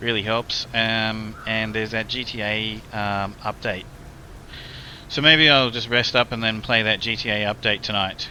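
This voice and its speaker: At a moderate pace, a man with an Australian accent talks at a medium pitch with fairly even intonation. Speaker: gaming streamer. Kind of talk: casual chat. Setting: live stream. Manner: rambling, hesitant with fillers.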